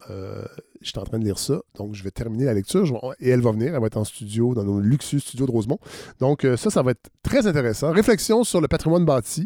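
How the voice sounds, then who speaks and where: A man with a Quebec accent talks at a very fast pace with lively intonation and a dark, mellow tone in a very clean recording with a silent background. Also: medium pitch for a man, dry, close sound with no echo. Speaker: podcast host. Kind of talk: interview.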